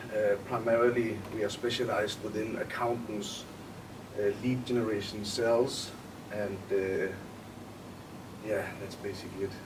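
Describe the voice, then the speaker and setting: Over noticeable background noise and audible room echo, a man with a Danish accent speaks at a moderate pace in a fairly low, monotone, flat voice, with long, frequent pauses. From Denmark. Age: 20s. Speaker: entrepreneur. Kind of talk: interview.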